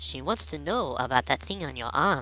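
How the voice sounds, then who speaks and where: A man's put-on character voice in a very clean recording with a silent background. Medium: read story.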